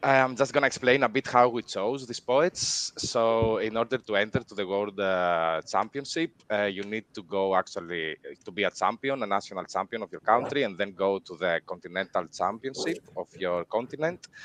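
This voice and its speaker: A man talks at a moderate pace and medium pitch. He has a non-native accent. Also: ordinary pitch variation, hardly any pauses, dry, close sound with no echo. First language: not English. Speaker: event organizer. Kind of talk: livestream announcement. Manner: hesitant, many fillers.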